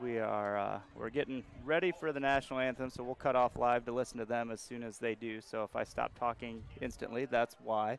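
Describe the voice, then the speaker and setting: Here is a man with a plain, everyday voice and an American accent. His medium pitch holds fairly even intonation at a fairly quick pace. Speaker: high school football announcer. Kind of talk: live sports commentary. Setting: stadium broadcast booth.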